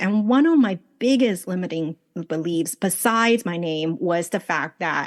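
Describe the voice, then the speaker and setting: A woman speaks with a medium pitch and lively intonation. The background is quiet. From US West Coast, Los Angeles. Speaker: life coach and business strategist. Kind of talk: podcast interview.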